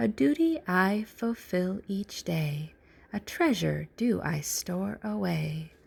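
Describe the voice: A middle-pitched put-on character voice, delivered very slowly.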